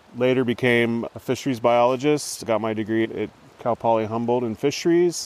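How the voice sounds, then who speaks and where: An ordinary speaking voice from a man with an American accent, medium pitch, ordinary pitch variation and a fairly quick pace. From northern California, Trinity River area. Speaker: fisheries biologist and naturalist. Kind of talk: casual conversation. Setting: outdoors in a rainforest.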